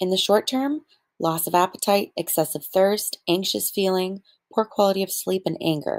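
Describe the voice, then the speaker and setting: Against a silent background in a very clean recording, a woman with an unremarkable speaking voice talks at medium pitch and a moderate pace, the sound dry and close with no echo. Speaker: student. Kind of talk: class presentation narration.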